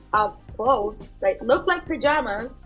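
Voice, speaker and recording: Music plays in the background as a woman talks at a moderate pace. Her voice is high-pitched, with lively intonation. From Colombia. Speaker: fashion designer. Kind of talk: interview answer.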